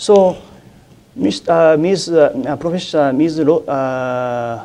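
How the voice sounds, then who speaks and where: Speaking at a very slow pace, a man with a Japanese accent has a fairly high pitch. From Japan, Kumamoto Prefecture. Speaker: newspaper journalist. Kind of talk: university lecture. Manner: hesitant, many filler pauses.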